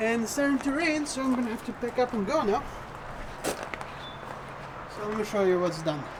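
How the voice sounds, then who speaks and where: The speech moves at a very slow pace, with noticeable background noise behind it. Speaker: car hobbyist vlogger. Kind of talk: casual DIY video narration.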